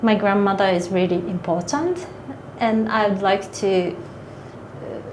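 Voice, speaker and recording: Amid noticeable background noise and audible room echo, a woman speaks at a very slow pace and medium pitch with fairly even intonation. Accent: Japanese. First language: Japanese. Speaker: author and manga artist. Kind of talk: interview. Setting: literary festival. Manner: halting.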